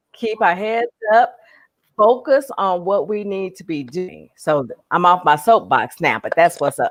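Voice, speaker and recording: A woman has an unremarkable speaking voice at medium pitch. Her intonation is lively, with big swings in loudness. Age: 60s. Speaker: online reseller. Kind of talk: casual chat. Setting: live stream.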